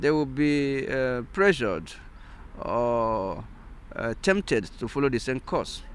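Here a man speaks in a Nigerian accent. His pitch is fairly high. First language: Igbo. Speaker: philosopher and sociologist, integration activist. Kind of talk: interview. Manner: halting, many fillers.

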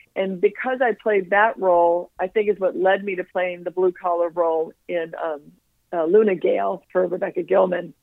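Here a woman has a normal speaking voice at medium pitch. She keeps a moderate pace with ordinary pitch variation. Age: 60s. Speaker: actress. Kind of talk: casual chat. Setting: phone call.

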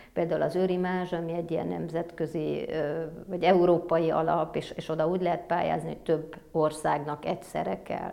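A woman speaks with a fairly low pitch, a dark, mellow tone and vocal fry. Her intonation is monotone and flat, at a moderate pace. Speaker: film producer. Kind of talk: interview. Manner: hesitant, many fillers.

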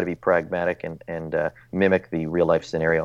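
Against a quiet background, the voice has a slight Newfoundland accent and a dry, close sound with no echo. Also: man. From Newfoundland, Canada. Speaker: orthopedic surgeon. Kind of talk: casual interview, journal review.

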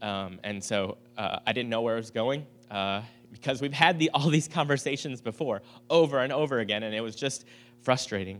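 A man talks at a fairly quick pace with a medium pitch and ordinary pitch variation. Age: 40s. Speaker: pastor. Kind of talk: sermon. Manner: halting, many fillers.

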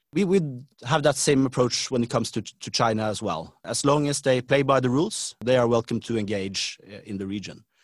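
A man with a Norwegian accent speaks in a medium pitch. His intonation is lively and his pace fairly quick. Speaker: government official. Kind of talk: interview. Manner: halting.

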